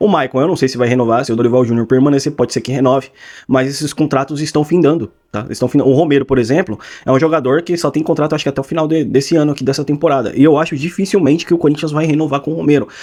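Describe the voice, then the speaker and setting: A very fast man's voice, fairly high in pitch, dark and mellow in tone, with ordinary pitch variation and a quiet background. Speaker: football commentator YouTuber. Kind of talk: casual opinion commentary.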